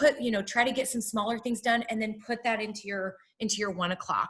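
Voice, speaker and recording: At a fairly quick pace, a woman talks in a fairly high voice with a bright, sharp tone. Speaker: wellness speaker. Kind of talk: webinar presentation. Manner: fast.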